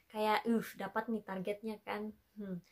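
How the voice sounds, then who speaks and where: With a plain, everyday voice, a woman talks at a fairly slow pace with fairly even intonation against a quiet background. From Makassar, Indonesia; Indonesia. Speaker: vlogger. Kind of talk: casual storytelling vlog. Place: home room. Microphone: camera far.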